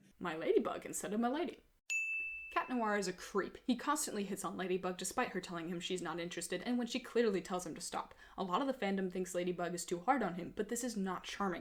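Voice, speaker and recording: Noticeable background noise is present throughout. The talking is very fast, and the pitch varies in an ordinary way. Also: woman, medium pitch for a woman. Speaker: fan video commentator. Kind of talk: comedic commentary narration. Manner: shaky, a little hard to understand.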